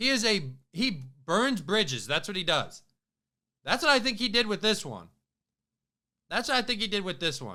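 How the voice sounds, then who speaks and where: On a very clean recording with a silent background, a man projects a raised, animated voice with a bright, sharp tone and high pitch, swinging very widely in pitch. He keeps a moderate pace but leaves long, frequent pauses. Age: 20s. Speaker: sports podcast host. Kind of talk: casual sports commentary monologue.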